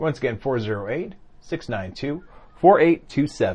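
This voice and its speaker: A somewhat breathy voice at a very slow pace, with very wide pitch swings, against a quiet background. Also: man. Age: 50s. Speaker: podcast co-host. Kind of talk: casual chat.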